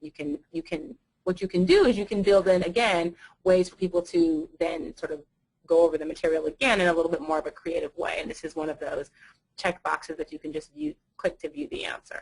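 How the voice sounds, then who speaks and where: A woman with a fairly low pitch speaks at a fairly quick pace, her intonation lively and her loudness swinging widely. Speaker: university instructor. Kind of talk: webinar presentation. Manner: fast.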